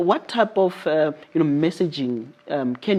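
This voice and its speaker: The intonation is lively. Background noise is noticeable. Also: man. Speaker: interview show host. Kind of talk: interview.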